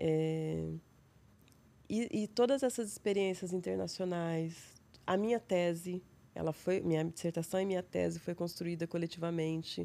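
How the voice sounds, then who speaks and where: Speaking fairly slowly with an interior São Paulo accent, a woman has a fairly low pitch, a dark, mellow tone, a calm tone and ordinary pitch variation. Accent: interior São Paulo Brazilian Portuguese. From interior of São Paulo state, Brazil. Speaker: psychologist and researcher. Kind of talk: casual interview conversation. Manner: calm, tranquil.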